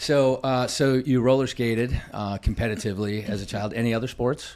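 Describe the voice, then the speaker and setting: Against noticeable background noise, a man talks at a fairly quick pace with a medium pitch and fairly even intonation. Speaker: podcast host. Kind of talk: interview.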